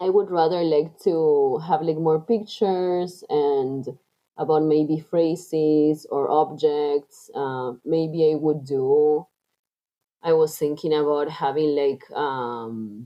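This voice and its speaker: Speaking at a very slow pace with a Spanish accent, a woman uses a very deep, low pitch with ordinary pitch variation. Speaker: coaching client. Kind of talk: coaching conversation. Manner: halting.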